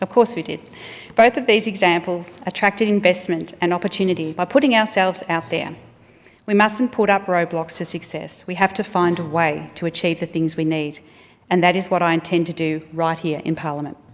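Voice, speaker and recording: The speaker has an Australian accent and ordinary pitch variation. The pace is fairly quick. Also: woman, fairly low pitch for a woman. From Australia, regional Victoria. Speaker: politician. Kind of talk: speech. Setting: parliament chamber. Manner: formal.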